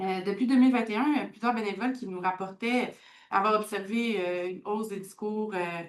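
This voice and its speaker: Speaking at a fairly quick pace, a woman has a medium pitch, fairly even intonation and a plain, everyday voice. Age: 30s. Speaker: community organization worker. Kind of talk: conference talk.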